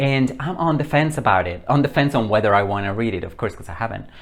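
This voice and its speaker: The speaker has a Spanish accent. Pitch varies in an ordinary way. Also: man. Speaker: book reviewer. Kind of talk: casual chat. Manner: animated.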